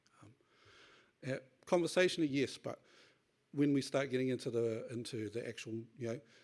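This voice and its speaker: This very clean recording has a silent background. A man speaks at a medium pitch with ordinary pitch variation. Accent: New Zealand. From New Zealand, Northland (Kawakawa). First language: Te Reo Māori. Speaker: tech industry speaker on data sovereignty. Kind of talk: conference talk. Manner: hurried.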